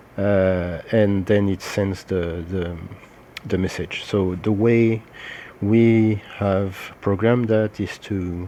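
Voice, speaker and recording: A man with a French accent speaks at a very slow pace. His fairly low voice keeps fairly even intonation. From France. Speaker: social media marketing consultant. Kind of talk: tutorial. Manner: hesitant, many filler sounds.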